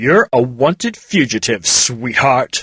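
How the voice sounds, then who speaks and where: Someone uses a put-on character voice with lively intonation at a fairly slow pace. The sound is dry and close, with no echo. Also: man, medium pitch for a man. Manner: smug, condescending.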